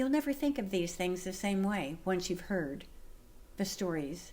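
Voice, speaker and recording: Amid audible room echo, a woman with an American accent speaks at a medium pitch and a moderate pace with lively intonation. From US West Coast. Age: 80s+. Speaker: lifestyle vlogger. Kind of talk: personal monologue to camera. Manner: animated.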